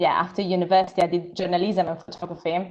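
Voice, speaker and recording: Against a quiet background, a woman speaks at medium pitch with an Italian accent. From Italy. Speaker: filmmaker and photographer. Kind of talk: live Q&A panel. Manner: hesitant with many fillers.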